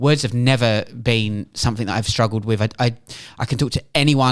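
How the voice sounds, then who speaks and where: The recording is very clean, its background silent. In a British accent, a man talks. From England. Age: 40s. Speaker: journalist and writer. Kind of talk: podcast interview.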